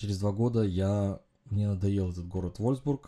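A man speaks in a fairly low, dark, mellow tone. His pace is moderate, with ordinary pitch variation. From Uzbekistan, then Germany as a teen. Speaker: podcast host, engineering consultant. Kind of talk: solo monologue podcast. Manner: hesitant, frequent filler sounds.

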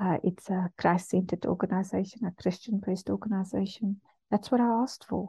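A woman with a medium pitch and a dark, mellow tone speaks at a fairly quick pace, sounding somewhat breathy. Her intonation is fairly even, and the sound is dry and close with no echo against a quiet background. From South Africa, Cape Town. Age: 40s. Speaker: radio host. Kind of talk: personal testimony. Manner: hesitant, with frequent fillers.

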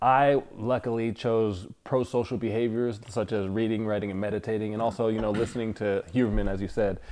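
Hardly pausing, a man with an American accent and an ordinary speaking voice talks at a medium pitch with fairly even intonation. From Northern California (Fremont, Sacramento). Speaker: entrepreneur. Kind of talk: casual chat.

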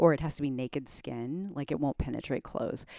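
Very deep and low for a woman, her voice moves at a fairly quick pace with very wide pitch swings on a very clean recording with a silent background. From Germany. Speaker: physician and clinic founder. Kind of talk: casual chat. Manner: animated.

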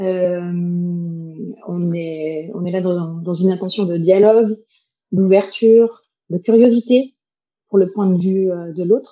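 A woman at a medium pitch, with fairly even intonation and a very slow pace. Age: 40s. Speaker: facilitator and psychologist. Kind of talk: facilitation.

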